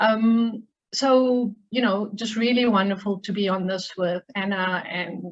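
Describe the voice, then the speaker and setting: In a South African accent, a woman speaks with fairly even intonation. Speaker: human rights lawyer. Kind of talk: seminar talk.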